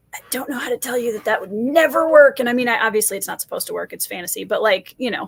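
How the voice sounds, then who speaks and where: Words come at a very fast pace with hardly any pauses, ordinary pitch variation, and big swings in loudness. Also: woman, high pitch for a woman. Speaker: fantasy author. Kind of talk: casual chat.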